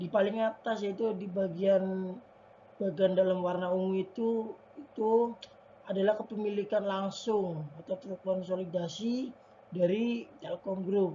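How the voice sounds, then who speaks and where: A quiet woman speaks at a fairly slow pace and medium pitch, with fairly even intonation over noticeable background noise. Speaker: university student. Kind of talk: class presentation. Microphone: faulty mic, voice may be quiet.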